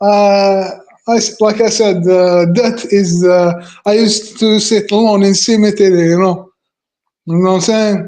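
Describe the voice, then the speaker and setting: In a room with audible echo, a man with a high pitch speaks fairly slowly in a flat monotone, his loudness very even. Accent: non-native. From Algeria. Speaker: guest in online chat. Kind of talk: casual chat. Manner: halting; many fillers, repeats words.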